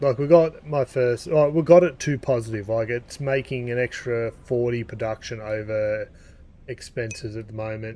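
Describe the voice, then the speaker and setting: At a moderate pace, a man with an Australian accent speaks in a medium pitch with a dark, mellow tone and ordinary pitch variation. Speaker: gaming streamer. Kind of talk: live gameplay stream chat. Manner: casual, filler-heavy.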